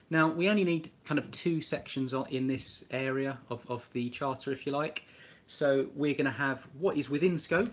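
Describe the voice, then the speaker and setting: A man with an English accent, fairly high in pitch, at a moderate pace with ordinary pitch variation. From England. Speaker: spreadsheet tutorial presenter. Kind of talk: tutorial. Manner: hesitant, many fillers and repeats.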